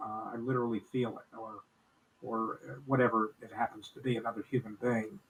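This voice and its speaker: Amid noticeable background noise, a man at a medium pitch talks fairly quickly with fairly even intonation and big swings in loudness. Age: 80s+. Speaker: elderly podcast co-host. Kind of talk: casual chat. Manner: halting, repeats words.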